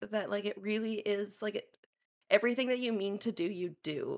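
A woman talks in a plain, everyday voice at a moderate pace. Her pitch is fairly high, with ordinary pitch variation. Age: 30s. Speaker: variety streamer. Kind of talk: casual chat.

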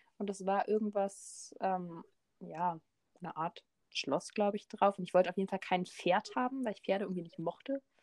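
A woman talks at a moderate pace with ordinary pitch variation in an unremarkable speaking voice. The recording is very clean with a silent background, and the sound is dry and close with no echo. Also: medium pitch for a woman. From Berlin. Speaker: podcast co-host. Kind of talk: casual chat.

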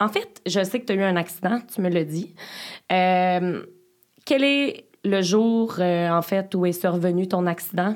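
This woman talks at a very slow pace with a medium pitch. Her pitch varies in an ordinary way. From Beauce, Quebec. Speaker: podcast host. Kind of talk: casual interview. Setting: studio.

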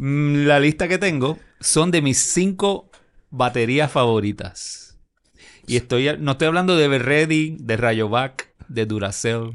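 The delivery is very slow, with lively intonation. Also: man, fairly high pitch for a man, quiet background. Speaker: sports podcast co-host. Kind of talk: casual chat.

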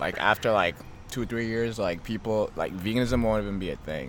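This man has a plain, everyday voice, talking at a fairly quick pace with a fairly low pitch and ordinary pitch variation. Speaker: college student and athlete. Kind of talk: casual chat. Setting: outdoors, front yard.

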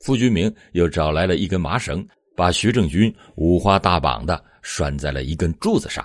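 Very deep and low, a man's voice carries vocal fry and a solemn, dramatic tone, with lively intonation. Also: moderate pace. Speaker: true-crime podcast narrator. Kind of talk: scripted true-crime narration, storytelling recounting a murder case. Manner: steady, measured, solemn storyteller pace; dramatic emphasis at the violent moments; formal, serious tone.

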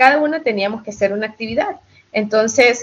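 This is a woman with a normal speaking voice. Her pitch is fairly high, with ordinary variation. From Ecuador, Guayaquil, raised in US. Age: 50s. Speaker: fan group admin. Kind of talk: casual interview chat.

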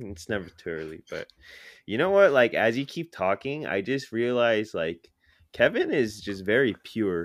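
This is a normal speaking voice at a moderate pace. The intonation is lively and the loudness swings widely. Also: man, medium pitch for a man. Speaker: podcast co-host. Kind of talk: casual chat podcast.

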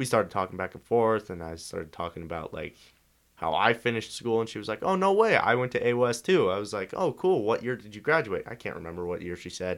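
Very wide pitch swings and big swings in loudness mark this medium-pitched man's very fast speech. The recording is very clean, with a silent background. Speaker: guest. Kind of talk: casual chat.

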